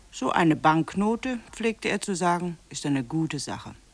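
A woman's low pitch with big pitch swings at a fairly slow pace.

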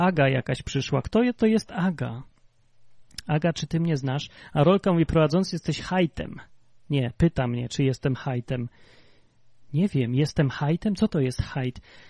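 A man with a dark, mellow tone and a fairly high pitch speaks somewhat breathily at a moderate pace with lively intonation and long, frequent pauses, the sound dry and close with no echo over a quiet background. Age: 30s. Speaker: livestream podcast host. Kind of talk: casual chat.

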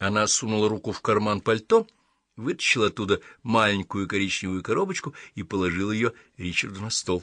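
Reading in an unforced voice, the speaker keeps intonation fairly even.

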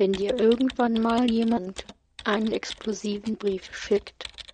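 The reading aloud is plain, and the intonation stays fairly even.

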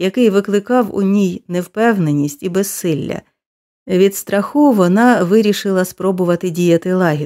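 Plain reading aloud with ordinary pitch variation against a quiet background

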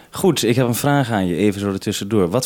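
A man with a dark, mellow tone speaks at a fairly quick pace.

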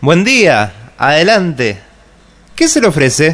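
A man's put-on character voice, fairly high in pitch and fairly bright in tone, with very wide pitch swings at a slow pace

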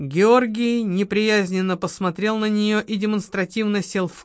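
Fairly even intonation shapes a natural reading voice here.

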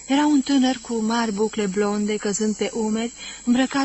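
A natural reading voice delivers the words with ordinary pitch variation.

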